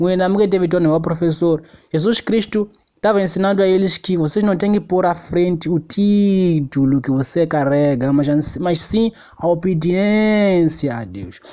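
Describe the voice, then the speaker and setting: A man's high, dark and mellow voice at a fairly slow pace with ordinary pitch variation. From Mozambique. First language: Xangana (Tsonga) (speaking Portuguese). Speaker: preacher. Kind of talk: sermon.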